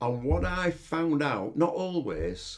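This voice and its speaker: Very slow speech with lively intonation, in a Yorkshire accent. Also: man. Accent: Yorkshire, clipped. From northern England, Yorkshire (Hull). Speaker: podcast host, life coach. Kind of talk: reflective monologue. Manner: halting, many fillers.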